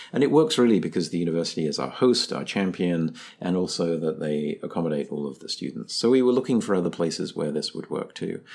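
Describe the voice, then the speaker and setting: A man with a very deep, low voice talks at a very fast pace with lively intonation and hardly any pauses, on a very clean recording with a silent background. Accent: English. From England. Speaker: computer science professor, nonprofit co-founder. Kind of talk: interview. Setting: studio.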